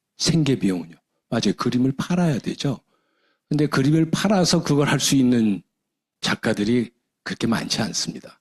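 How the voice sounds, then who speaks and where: A man speaks with very wide pitch swings and long, frequent pauses. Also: medium pitch for a man, moderate pace, very even loudness, dry, close sound with no echo. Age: 60s. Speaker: retired professor and business leader. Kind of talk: seminar lecture.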